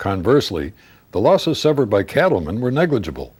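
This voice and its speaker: With vocal fry at a medium pitch, a man speaks at a fairly quick pace. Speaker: author reading own novel. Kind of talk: audiobook narration.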